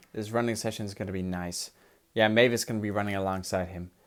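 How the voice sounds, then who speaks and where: A man speaks at a fairly low pitch. There is noticeable background noise. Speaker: toy train collector. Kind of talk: casual unboxing talk to camera.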